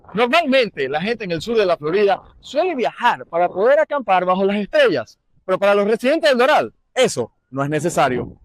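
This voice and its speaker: A man speaks at a very fast pace in a high pitch, his voice swinging very widely up and down, in a dry, close sound with no echo. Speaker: TV news reporter. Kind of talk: TV news report.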